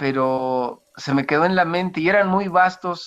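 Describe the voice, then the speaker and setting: In a central Mexican accent, a man speaks with ordinary pitch variation over a quiet background. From central Mexico, rural State of Mexico. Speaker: church deacon. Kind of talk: interview, personal life story. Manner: halting, with many fillers and restarts.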